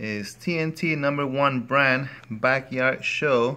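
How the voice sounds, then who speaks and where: Someone with a Spanish accent speaks in a bright, sharp tone with fairly even intonation. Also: man. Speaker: product reviewer, father. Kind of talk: casual product review.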